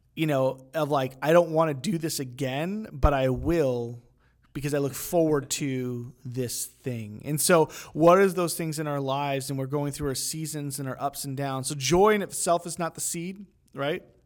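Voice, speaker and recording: Using a normal speaking voice, a man talks at a moderate pace with fairly high pitch and ordinary pitch variation. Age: 30s. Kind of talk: casual faith discussion.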